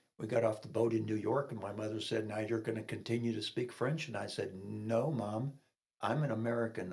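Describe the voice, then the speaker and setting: This man's medium-pitched voice is somewhat breathy. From Kentucky (Fort Knox), military childhood abroad. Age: 70s. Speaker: retired police officer and veteran. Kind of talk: testimony interview.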